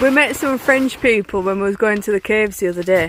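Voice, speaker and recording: Ordinary pitch variation at a fairly quick pace, with noticeable background noise behind. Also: woman. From Yorkshire, northern England. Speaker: travel vlogger. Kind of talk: casual vlog chat.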